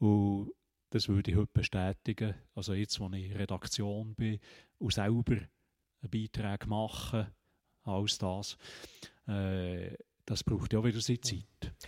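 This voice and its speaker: A man talks at a fairly slow pace with a fairly low pitch, flat monotone intonation, and long, frequent pauses. The recording is very clean, with a silent background and a dry, close sound with no echo. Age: 70s. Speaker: retired teacher. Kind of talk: casual interview conversation. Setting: meeting room.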